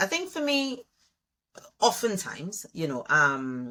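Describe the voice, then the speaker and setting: A woman with a Trinidadian accent speaks in a bright, sharp tone with very wide pitch swings. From Trinidad (Malabar, Arima, east). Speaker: education leadership consultant. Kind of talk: interview conversation.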